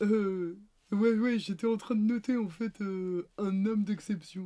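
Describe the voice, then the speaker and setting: A woman uses a put-on character voice at a medium pitch, talking at a fairly slow pace with fairly even intonation. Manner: hesitant.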